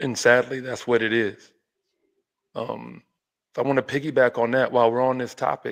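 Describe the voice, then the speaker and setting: A man speaks with a medium pitch. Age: 40s. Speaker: podcast host. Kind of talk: casual discussion.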